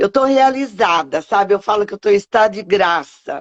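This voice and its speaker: A woman talks at a medium pitch. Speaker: event host, celebrant trainer. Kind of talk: interview. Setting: video call. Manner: soft-spoken.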